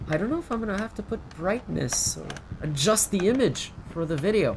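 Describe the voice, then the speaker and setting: The speaker talks at a moderate pace over noticeable background noise. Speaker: gaming commentator. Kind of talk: game playthrough commentary. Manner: soft-spoken, quasi ASMR; calm, chill.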